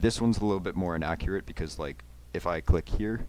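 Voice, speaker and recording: A man's very deep, low voice with vocal fry at a fairly quick pace. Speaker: YouTuber making software tutorials. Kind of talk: tutorial. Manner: fast; casual with many fillers.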